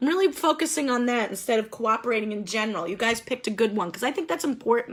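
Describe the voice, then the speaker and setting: A woman talks loudly at a high pitch, her voice swinging very widely in pitch with an animated tone. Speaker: group facilitator. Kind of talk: group discussion session. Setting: video call.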